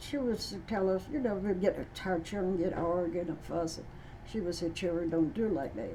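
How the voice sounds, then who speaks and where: A woman with an American accent speaks at a medium pitch in a dark, mellow tone. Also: ordinary pitch variation, moderate pace. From Eastern Shore, USA. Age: 80s+. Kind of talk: interview answer.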